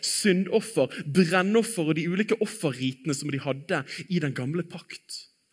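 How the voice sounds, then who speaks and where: This man has a high-pitched voice with lively intonation. His pace is fairly slow. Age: 30s. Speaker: preacher. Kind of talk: sermon.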